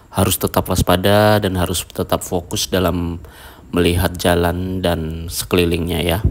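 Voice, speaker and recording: His intonation stays fairly even. The man's voice sits at a very deep, low pitch. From Indonesia, not from the Lake Toba area. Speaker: travel vlogger. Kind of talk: driving vlog commentary. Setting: in a car. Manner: casual, chatty.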